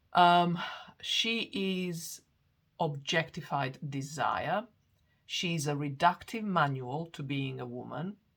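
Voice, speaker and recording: A speaker with a non-native accent talks at a very slow pace, with ordinary pitch variation and big swings in loudness, in a very clean recording with a silent background. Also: woman, fairly low pitch for a woman. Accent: foreign. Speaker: astrologer. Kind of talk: lecture. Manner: halting, many fillers and restarts.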